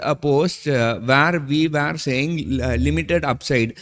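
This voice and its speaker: A man's fairly high pitch with ordinary pitch variation at a moderate pace. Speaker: stock market analyst. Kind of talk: market analysis video. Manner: confident.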